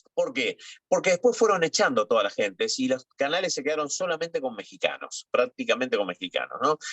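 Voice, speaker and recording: Fairly quick speech from a man with an Argentine accent. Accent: Rioplatense Argentine Spanish. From Argentina. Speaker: TV and radio journalist. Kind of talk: interview. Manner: hesitant, many fillers.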